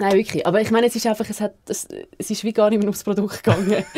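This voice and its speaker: A woman speaks very fast at a medium pitch with monotone, flat intonation. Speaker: radio show co-host. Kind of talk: casual radio show banter.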